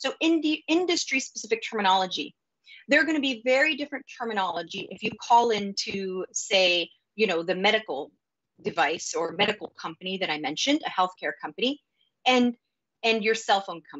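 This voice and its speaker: Over a quiet background, a woman with an American accent talks at a fairly quick pace. Her pitch is fairly high, with very wide pitch swings. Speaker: data operations executive, conference speaker; conference speaker. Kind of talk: conference talk. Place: home room. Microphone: webcam.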